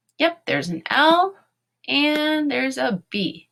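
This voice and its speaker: With an American accent, a woman talks in very wide pitch swings. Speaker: elementary school teacher. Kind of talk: online lesson for young children.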